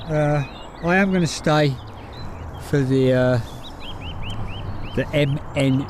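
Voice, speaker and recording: A man with a Birmingham accent, with noticeable background noise and audible room echo. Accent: Brummie. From Birmingham, England. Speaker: plane-spotting livestreamer. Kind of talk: live stream commentary. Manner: casual, chatty.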